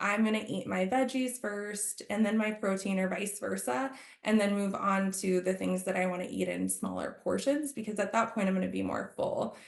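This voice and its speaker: Noticeable background noise sits behind a woman's medium-pitched voice as she speaks at a moderate pace with hardly any pauses and ordinary pitch variation. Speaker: health coach. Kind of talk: webinar presentation. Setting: video call.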